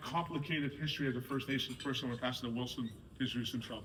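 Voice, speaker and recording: With audible room echo and noticeable background noise, a man talks at a very fast pace, his pitch fairly high and his pitch variation ordinary. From Canada, North Shore of Vancouver, Squamish reservation. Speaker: soccer board director. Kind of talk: speech to a sports team.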